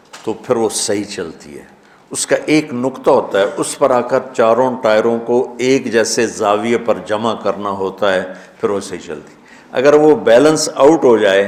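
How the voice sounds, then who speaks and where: A man talks in a normal speaking voice at medium pitch. His pitch variation is ordinary. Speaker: Islamic preacher. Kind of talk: religious sermon.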